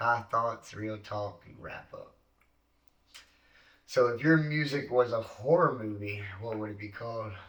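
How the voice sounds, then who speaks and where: With a Virginia accent, a man talks at a fairly slow pace with ordinary pitch variation, big swings in loudness, and long, frequent pauses. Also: medium pitch for a man. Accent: Southern US (Virginia). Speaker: podcast host. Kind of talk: casual chat.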